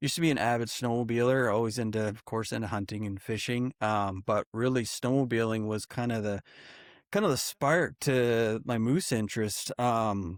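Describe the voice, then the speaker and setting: In a Maritime Canadian accent, a man speaks at a medium pitch and moderate pace with ordinary pitch variation, the sound dry and close with no echo on a very clean recording with a silent background. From New Brunswick, Canada. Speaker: wildlife photographer and filmmaker. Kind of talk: casual podcast interview.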